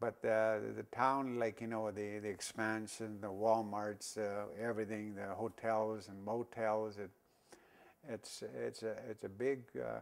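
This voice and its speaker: Speaking fairly slowly with an Alberta accent, a man keeps his fairly low voice in fairly even intonation. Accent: Canadian prairie, rural northern Alberta. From northern Alberta, Canada. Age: 60s. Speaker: local senior sharing town history. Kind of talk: oral history interview. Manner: halting, many fillers and restarts.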